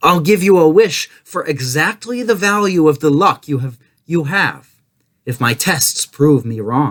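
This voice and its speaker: Putting on a character voice, a man talks at a fairly slow pace with fairly high pitch. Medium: read story. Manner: commanding, sly.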